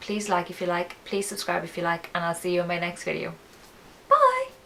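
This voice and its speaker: A woman with an Irish accent at a fairly quick pace, against noticeable background noise. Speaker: beauty vlogger. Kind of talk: casual product review vlog. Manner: flat, low-energy.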